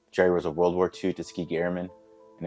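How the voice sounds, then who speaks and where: A man speaks at a very fast pace in a very deep, low pitch. Music plays in the background. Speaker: communications manager, Marine Corps veteran. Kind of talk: video introduction to camera.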